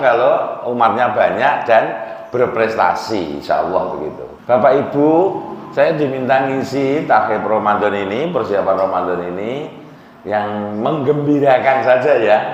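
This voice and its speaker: Amid noticeable background noise and audible room echo, a man with a Central Javanese accent speaks at a moderate pace and medium pitch with ordinary variation. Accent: Demak Javanese accent in Indonesian. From Central Java, Demak. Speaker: biology lecturer giving religious talk. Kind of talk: sermon. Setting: mosque.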